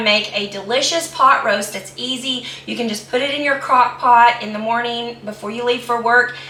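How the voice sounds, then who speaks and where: With an American accent, a woman speaks at a moderate pace in a high pitch and fairly even intonation, with audible room echo and noticeable background noise. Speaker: home cooking video host. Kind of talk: cooking tutorial. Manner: casual, hesitant with fillers.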